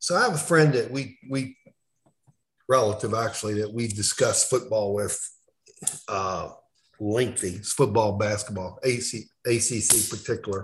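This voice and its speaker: A man speaks at a moderate pace with ordinary pitch variation. His somewhat breathy delivery has long, frequent pauses. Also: medium pitch for a man. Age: 50s. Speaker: sports journalist. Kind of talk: casual chat.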